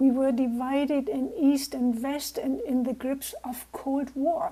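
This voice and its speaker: With a German accent, the speaker goes at a very slow pace in a dark, mellow tone. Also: woman. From Germany. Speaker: naturopath and peace builder. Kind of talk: talk to a club over video call. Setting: video call.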